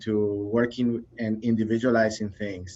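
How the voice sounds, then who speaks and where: A man with a non-native accent speaks at a medium pitch in a flat, monotone delivery. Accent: foreign accent, lasting. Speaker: behavior analyst, trainer. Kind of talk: casual interview chat. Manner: halting, many fillers and repeats.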